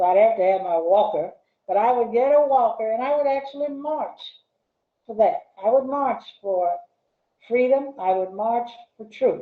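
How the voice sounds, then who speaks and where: At a moderate pace, a woman with an Arkansas accent speaks at a fairly high pitch with lively intonation. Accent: Southern US (Arkansas). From US South. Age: 70s. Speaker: retired English professor. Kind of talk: interview conversation. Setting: video call.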